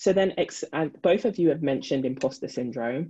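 Against a quiet background, a woman talks at a fairly quick pace in a dark, mellow tone. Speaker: moderator. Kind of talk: panel discussion. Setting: video call. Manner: warm, upbeat. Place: home room. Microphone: video call.

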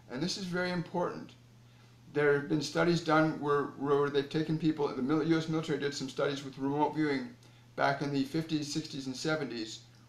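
At a moderate pace, a man talks with fairly even intonation amid audible room echo. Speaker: spiritual teacher. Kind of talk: spiritual talk to viewers. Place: home room. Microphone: phone near.

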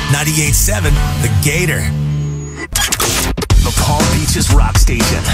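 Loud music plays in the background of this dry, echo-free recording, where the speaker goes at a fairly slow pace. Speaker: radio station imaging voice. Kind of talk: radio station ID / imaging promo read. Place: studio.

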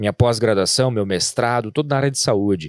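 The speech moves at a fairly quick pace with ordinary pitch variation, and the sound is dry with no echo. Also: man, quiet background. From Rio Grande do Sul, Brazil. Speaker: business founder, franchise entrepreneur; podcast guest. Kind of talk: podcast interview. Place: studio. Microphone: studio mic.

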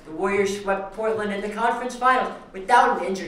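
A man speaks in a high-pitched voice. Audible room echo surrounds him. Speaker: sports broadcaster. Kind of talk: sports rant and anchoring segment. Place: studio.

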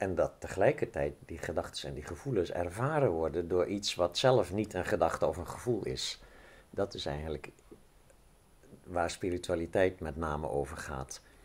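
A man speaks with vocal fry at a very deep, low pitch. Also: moderate pace. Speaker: interviewee. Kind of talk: interview answer. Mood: calm, explanatory. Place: open country.

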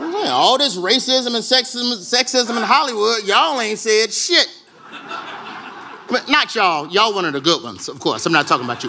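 A man with an American accent, high in pitch, in a raised, projected voice at a moderate pace, amid noticeable background noise. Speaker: stand-up comedian and awards host. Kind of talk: stand-up comedy monologue to a live audience. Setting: live ballroom event with audience laughter. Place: hall. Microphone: podium.

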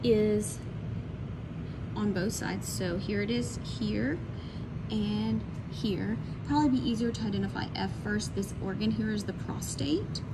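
Through loud background noise, a woman speaks at a fairly slow pace with long, frequent pauses. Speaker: college science instructor. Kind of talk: anatomy lab walkthrough. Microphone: phone near.

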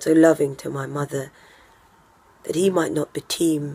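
The woman's pitch is very deep and low, her tone dark and mellow. Her intonation is flat and monotone, with vocal fry. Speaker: stage actor. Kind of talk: Shakespeare monologue performance. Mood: weary, bitter, grieving. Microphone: phone near.

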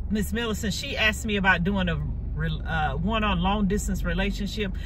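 The sound is dry, with no echo, though noticeable background noise comes through. A woman talks at a fairly quick pace. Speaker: vlogger. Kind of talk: casual vlog chat. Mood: relaxed, friendly. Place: car. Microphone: phone near.

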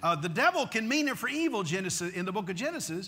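Using a raised, projected voice, a man speaks with a bright, sharp tone and lively intonation. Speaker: pastor. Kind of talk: sermon. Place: church. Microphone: lapel.

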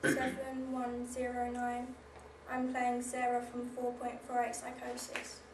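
This woman speaks fairly slowly in a high, flat monotone. Noticeable background noise sits behind her. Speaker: drama student actor. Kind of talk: dramatic theatre monologue. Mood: anguished, intense. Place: stage. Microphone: camera far.

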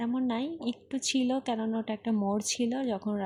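Somewhat breathy and dark, mellow in tone, a woman speaks with monotone, flat intonation. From Bangladesh, Khulna. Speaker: vlogger. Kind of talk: casual vlog monologue. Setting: outdoors on a rickshaw in the rain.

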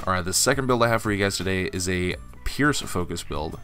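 A man with a fairly low voice talks at a fairly quick pace. Music plays in the background. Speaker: gaming YouTuber. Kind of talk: casual gaming tutorial talk.

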